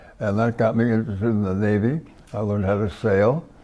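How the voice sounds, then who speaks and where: A man with an American accent, a dark, mellow tone and a fairly quick pace. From US West Coast (California). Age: 90s. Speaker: war veteran. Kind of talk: interview. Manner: halting.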